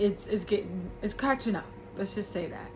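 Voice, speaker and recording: Moderate-paced speech from a woman, with audible room echo and noticeable background noise. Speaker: vlogger. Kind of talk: personal vlog. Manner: halting.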